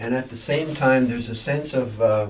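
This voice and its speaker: A man's medium-pitched voice is heard with audible room echo. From India. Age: 70s. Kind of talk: podcast interview. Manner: halting, with many repeated words; reflective.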